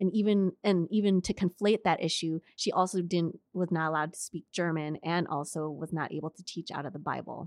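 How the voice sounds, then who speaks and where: An ordinary speaking voice from a woman with an American accent, fairly low in pitch, fairly quick with hardly any pauses, fairly even in intonation, big swings in loudness, and a dry, close sound with no echo. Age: 40s. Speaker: school administrator. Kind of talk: casual interview. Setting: library.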